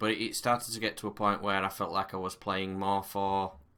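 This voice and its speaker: Fairly low in pitch, this man's voice has a bright, sharp tone. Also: very clean recording, silent background. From northern England, Barnsley, South Yorkshire. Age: 30s. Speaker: gaming YouTuber. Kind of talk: casual to-camera monologue. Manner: hesitant, many fillers.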